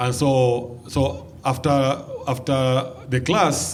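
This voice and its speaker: A man with a Kenyan accent speaks at a medium pitch, with audible room echo around him. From Kenya, Mombasa coast. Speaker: pastor and mission organization founder. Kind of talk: interview.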